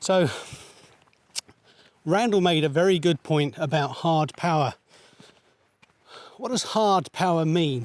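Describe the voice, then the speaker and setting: Speaking with a British accent, a man with a fairly high voice moves at a fairly slow pace, with long, frequent pauses and ordinary pitch variation. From United Kingdom. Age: 60s. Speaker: podcast co-host, military background. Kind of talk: casual conversation. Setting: outdoors, walking up a mountain.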